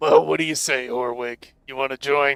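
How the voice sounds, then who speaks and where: Someone puts on a character voice at a moderate pace. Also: man. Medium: actual play. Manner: curt, businesslike.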